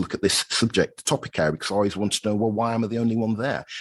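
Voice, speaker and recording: With a British accent, a man of fairly low pitch speaks in a dry, close sound with no echo over a quiet background. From Britain. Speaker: accounting professor. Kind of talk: podcast interview. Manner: halting, with many fillers.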